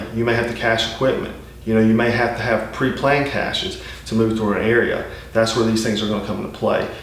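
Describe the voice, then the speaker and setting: A man with an American accent talks very fast at medium pitch in a flat monotone. Noticeable background noise and audible room echo fill the recording. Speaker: survival channel host. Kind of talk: casual instructional talk. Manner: conversational, many fillers.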